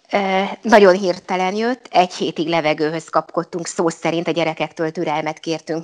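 Fairly low-pitched woman's voice with fairly even intonation at a moderate pace, dry and close with no echo, over noticeable background noise. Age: 50s. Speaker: local councillor and teacher. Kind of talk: interview.

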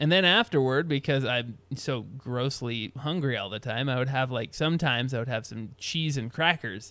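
A man has a normal speaking voice at a medium pitch. His pitch variation is ordinary. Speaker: podcast host. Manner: rambling, humorous, self-deprecating.

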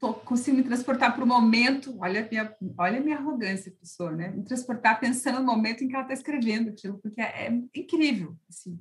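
A woman speaks in an unremarkable speaking voice. Her pitch sits fairly high. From Londrina, Paraná, Brazil. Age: 40s. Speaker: lawyer. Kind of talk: casual chat.

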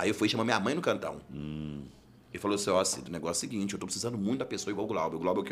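Delivered very fast, the voice moves through ordinary pitch variation. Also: man. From Belo Horizonte, Minas Gerais, Brazil. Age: 30s. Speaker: criminal defense lawyer. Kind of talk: casual interview chat. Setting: studio.

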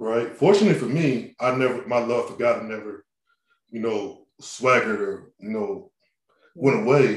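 A man with an American accent has an unremarkable speaking voice at a medium pitch. He talks at a moderate pace with lively intonation. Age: 30s. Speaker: podcast host, wheelchair user. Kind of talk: casual interview chat. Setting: remote call.

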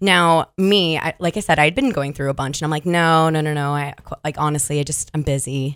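A woman with an American accent, very deep and low-pitched, animated in tone, on a very clean recording with a silent background. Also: fairly quick pace. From US, Virginia Beach, Virginia. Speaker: fitness instructor. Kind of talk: casual chat. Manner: animated storytelling with many ums and laughs.

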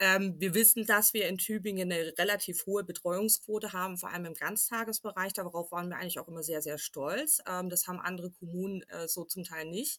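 With a slight Swabian accent, a woman talks at a fairly quick pace in a bright, sharp tone. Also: medium pitch for a woman, ordinary pitch variation, hardly any pauses. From Swabia, southwest Germany. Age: 30s. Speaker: parent representative and communication trainer. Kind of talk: interview.

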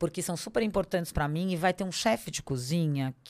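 Her voice an unremarkable speaking voice, a woman talks at a fairly low pitch with lively intonation. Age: 40s. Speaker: lawyer and personal development coach. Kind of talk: interview conversation.

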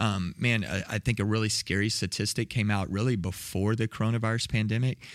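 In a Texan accent, the speaker moves at a fairly quick pace with hardly any pauses and very even loudness, on a very clean recording with a silent background. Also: man, fairly low pitch for a man. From Texas, south of Waco. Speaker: next-gen ministry director. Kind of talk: casual chat.

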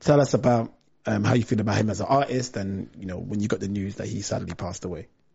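Vocal fry runs through this voice at a very fast pace. The pitch varies in an ordinary way. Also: man, fairly low pitch for a man. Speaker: podcast host. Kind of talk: casual interview chat. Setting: live online video stream.

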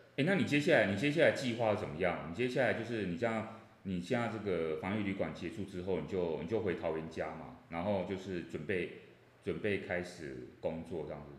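Recorded with audible room echo, a man speaks. His pitch is very deep and low. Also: lively intonation, fairly quick pace. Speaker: professor. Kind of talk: casual chat.

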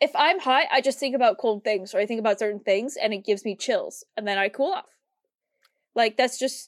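An unremarkable speaking voice from a woman with an American accent, fairly high in pitch, with lively intonation, a fairly quick pace, and a dry, close sound with no echo. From US Midwest. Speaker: podcast co-host. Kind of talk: casual chat.

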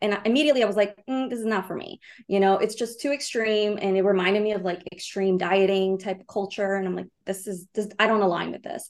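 Very fast speech from a woman at a medium pitch, with hardly any pauses and ordinary pitch variation. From Brazil. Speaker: money coach. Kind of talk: casual chat.

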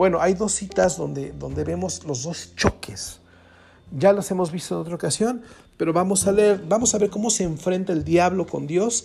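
The speaker has a Mexican accent and an animated tone. The pace is moderate. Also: man. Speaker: pastor. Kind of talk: sermon.

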